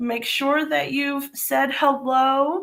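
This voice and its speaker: A woman's high-pitched voice carries audible echo from the room. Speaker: papercraft demonstrator. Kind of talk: live stream craft session. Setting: live stream. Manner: casual, chatty.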